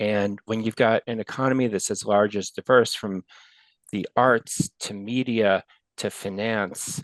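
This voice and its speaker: Over a quiet background, a man with an American accent and an ordinary speaking voice talks at a fairly low pitch in a dry, close sound with no echo. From New York, Westchester County. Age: 60s. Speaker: retiring big data professional. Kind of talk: interview podcast chat.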